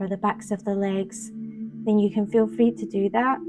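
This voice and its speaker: Music plays in the background as a woman speaks. She has a Scottish accent and a fairly slow pace. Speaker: meditation guide. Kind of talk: guided meditation. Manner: slow, soft-spoken.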